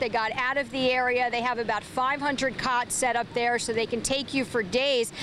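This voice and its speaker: Over noticeable background noise, a woman speaks at a fairly quick pace with high pitch and fairly even intonation. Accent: American. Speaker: television news anchor and reporter. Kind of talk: live field and studio news reporting. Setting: outdoors in windy rainy weather.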